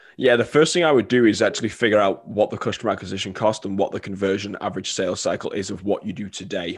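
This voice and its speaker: A man's fairly low voice in a Mancunian accent, at a very fast pace with hardly any pauses. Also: ordinary pitch variation. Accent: Manchester English. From England, Manchester. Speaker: marketing consultant. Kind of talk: podcast interview.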